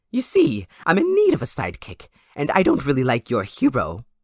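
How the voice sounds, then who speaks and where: A man puts on a character voice, talking at a fairly quick pace. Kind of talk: audio roleplay. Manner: taunting, playful.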